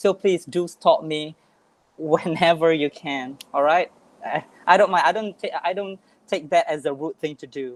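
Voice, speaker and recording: A woman's fairly low voice with a Malaysian accent, moderate pace and ordinary pitch variation. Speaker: English teacher. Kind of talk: online workshop talk.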